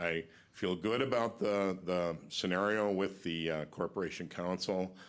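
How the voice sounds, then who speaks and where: A man's very deep, low voice at a fairly slow pace. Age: 60s. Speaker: county lawyer. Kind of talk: farewell speech at public meeting. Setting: county board meeting room. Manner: halting, many fillers.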